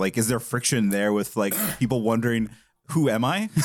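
A man talks at a fairly quick pace at medium pitch. It is an ordinary speaking voice. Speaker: podcast co-host. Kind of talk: interview. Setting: video call.

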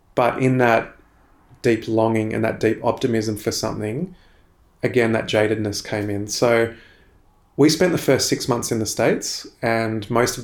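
Moderate pace and ordinary pitch variation from a man at medium pitch. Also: very clean recording, silent background. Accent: Australian. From Australia, Sydney. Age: 30s. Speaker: Anglican minister. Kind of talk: interview testimony.

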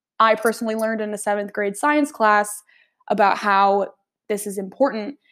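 A woman's fairly high-pitched voice with an American accent at a moderate pace, an unremarkable speaking voice, on a very clean recording with a silent background. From US South, Nashville, Tennessee. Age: 20s. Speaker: student podcaster. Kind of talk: solo informational podcast.

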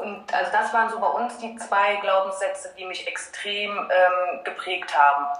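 The speech moves at a fairly slow pace with hardly any pauses. Background noise is noticeable, and room echo is audible. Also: woman, medium pitch for a woman, ordinary pitch variation. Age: 30s. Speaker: financial education coach for parents. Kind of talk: casual interview. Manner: hesitant, many filler sounds.

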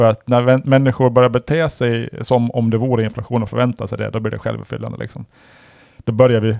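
A man with an ordinary speaking voice talks at a fairly quick pace, keeping a medium pitch and fairly even intonation. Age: 40s. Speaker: podcast host. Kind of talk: casual chat.

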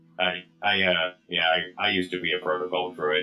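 A man uses a put-on character voice that is very deep and low, with monotone, flat intonation. He keeps a moderate pace while faint music plays in the background. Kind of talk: stiff, mechanical-sounding droid voice.

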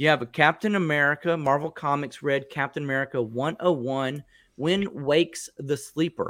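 A man speaks at a moderate pace in an animated tone, his fairly high pitch captured in a dry, close sound with no echo. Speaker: podcast host. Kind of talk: casual chat.

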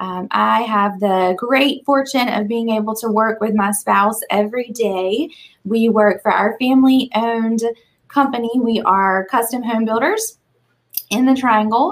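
A woman with an American accent talks fairly slowly in a normal speaking voice. Her pitch is fairly high and her intonation fairly even. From Eastern North Carolina. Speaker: small business employee. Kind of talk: casual chat.

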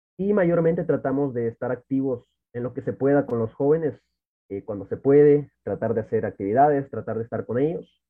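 A man with an unremarkable speaking voice talks fairly quickly at a medium pitch, his intonation lively. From El Salvador, Santa Ana. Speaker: church youth worker. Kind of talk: casual chat.

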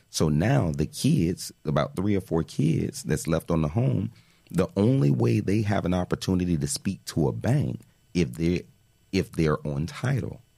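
In an American accent, a man speaks with a very deep, low pitch, a dark, mellow tone and vocal fry. His pitch swings very widely while his loudness stays very even, and his pace is fairly slow. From Miami, Florida (Miami Gardens). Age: 30s. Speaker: financial literacy educator. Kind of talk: podcast interview.

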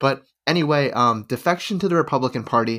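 Delivered at a fairly quick pace with ordinary pitch variation, this is an unremarkable speaking voice on a very clean recording with a silent background. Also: man. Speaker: history podcast co-host. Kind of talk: casual chat and scripted history narration.

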